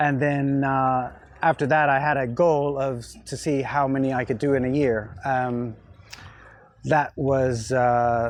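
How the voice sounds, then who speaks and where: Here a man with an American accent talks at a fairly slow pace. His pitch is medium and his intonation fairly even. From US South (Pensacola, Florida). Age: 50s. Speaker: marathon runner. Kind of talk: interview. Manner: halting, with many fillers.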